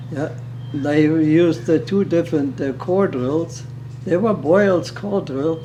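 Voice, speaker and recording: Over noticeable background noise, a man with a German accent talks at a fairly slow pace in a fairly high voice with ordinary pitch variation. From Germany, Berlin. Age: 80s+. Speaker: retired underground miner. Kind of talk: interview. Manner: halting.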